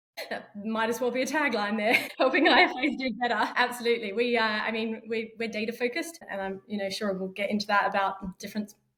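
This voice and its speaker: Spoken at a very fast pace with hardly any pauses, this Australian accent carries ordinary pitch variation. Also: woman, fairly high pitch for a woman. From Australia, Perth. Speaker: fintech startup founder. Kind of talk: podcast interview.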